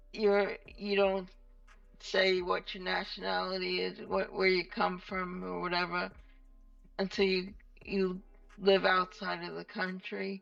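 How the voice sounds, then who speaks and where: With a New York accent, a woman speaks at a fairly slow pace in a monotone, flat intonation, with long, frequent pauses and big swings in loudness as music plays in the background. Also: medium pitch for a woman. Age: 50s. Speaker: rock guitarist. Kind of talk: casual interview chat.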